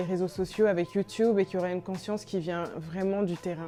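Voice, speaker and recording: Music plays in the background as a woman speaks at medium pitch with fairly even intonation. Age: 20s. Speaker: brand founder. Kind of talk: interview answers. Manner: hesitant with frequent fillers.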